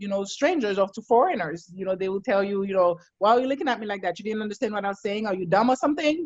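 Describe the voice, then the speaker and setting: In a Haitian accent, a woman talks at a very fast pace, her medium-pitched voice carrying lively intonation. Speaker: psychologist. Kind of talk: casual chat.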